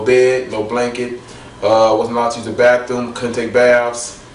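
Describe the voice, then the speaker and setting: A man with an American accent at a moderate pace, amid noticeable background noise and audible room echo. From US Midwest, Washington Park, Illinois. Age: 20s. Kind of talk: testimony. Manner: halting, many fillers and repeats.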